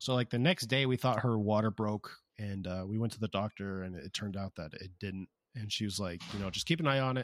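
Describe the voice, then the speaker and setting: A man with an ordinary speaking voice and an American accent talks at a fairly quick pace, fairly low in pitch with ordinary variation. The recording is very clean with a silent background, and the sound is dry and close with no echo. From US West, Las Vegas and Southern California. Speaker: podcast co-host, young father. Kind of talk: casual chat.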